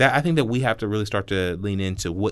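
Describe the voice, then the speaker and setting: Against a quiet background, a man with an American accent talks at a fairly low pitch with ordinary pitch variation. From Columbus, Ohio. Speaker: city council president. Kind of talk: interview.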